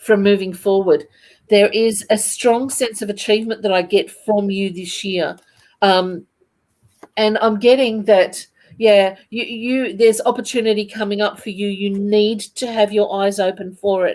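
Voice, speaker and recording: A woman talks at a fairly slow pace. Her voice is medium in pitch, with fairly even intonation. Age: 60s. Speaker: psychic medium. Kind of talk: psychic reading. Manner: halting.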